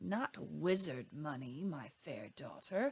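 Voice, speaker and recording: Growling in a put-on character voice, a man speaks at a fairly high pitch and a fairly slow pace. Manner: sly, purring.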